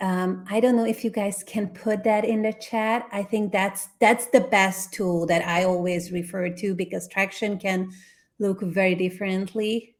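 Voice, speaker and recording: A woman speaks at a fairly slow pace with a non-native accent and fairly even intonation. The recording is very clean, with a silent background. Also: medium pitch for a woman. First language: not English. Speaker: brand consultant. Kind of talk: workshop Q&A answers.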